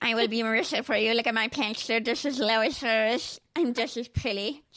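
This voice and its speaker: A female-sounding put-on character voice mumbles at a moderate pace and fairly high pitch on a very clean recording with a silent background. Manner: incomprehensible mumbling.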